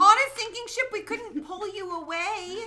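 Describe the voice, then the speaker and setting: A female-sounding put-on character voice, extremely high in pitch, at a moderate pace. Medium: actual play. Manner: tumbling sentences.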